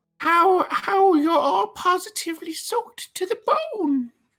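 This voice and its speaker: Someone speaks very slowly and softly in a put-on character voice. Faint music plays in the background. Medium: actual play. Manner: doting, sweetly overfriendly.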